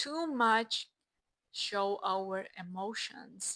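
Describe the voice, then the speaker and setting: With a non-native accent, a woman speaks in a fairly high, bright, sharp voice, recorded dry and close with no echo. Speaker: self-help vlogger. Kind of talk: casual vlog monologue.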